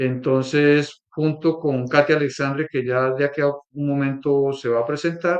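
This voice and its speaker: A man with a Colombian accent talks at a fairly slow pace with hardly any pauses, his fairly high voice flat and monotone. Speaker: workshop leader, institute co-director. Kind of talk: workshop presentation.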